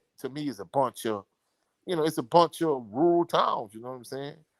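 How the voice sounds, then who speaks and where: With a strong Louisiana accent, a man speaks fairly quickly in a dry, close sound with no echo. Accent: thick Louisiana. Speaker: sports commentator. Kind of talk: live stream chat.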